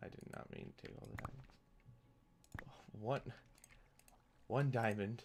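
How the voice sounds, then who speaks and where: Quiet and at a fairly slow pace, a man speaks with ordinary pitch variation. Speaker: gaming youtuber. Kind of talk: gameplay commentary. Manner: quiet, subdued; halting, many fillers.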